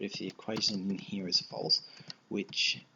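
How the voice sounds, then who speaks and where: A man is speaking in a soft-spoken manner. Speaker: programming tutorial creator. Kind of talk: tutorial. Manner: casual, with fillers.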